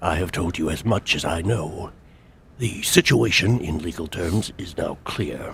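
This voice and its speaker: A man puts on a character voice. It is very deep and low, delivered at a moderate pace. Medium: video game. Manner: formal, measured.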